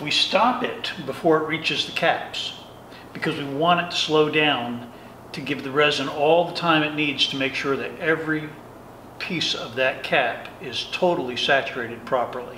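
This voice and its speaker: Light background noise and audible room echo surround the recording. A man speaks at a moderate pace with ordinary pitch variation. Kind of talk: tour explanation. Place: workshop.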